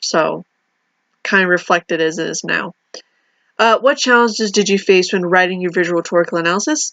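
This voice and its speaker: Her voice sits at a medium pitch, and this woman speaks with ordinary pitch variation. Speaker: university student. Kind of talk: video reflection monologue. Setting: recorded alone to camera. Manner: fast; hesitant, many fillers.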